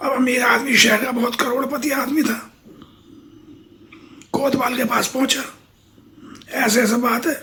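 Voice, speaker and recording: A man's put-on character voice, extremely high-pitched, raspy, raised and projected, in monotone, flat intonation at a moderate pace with long, frequent pauses. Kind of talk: folksy spoken moral tale. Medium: read story. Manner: conversational, repetitive, colloquial.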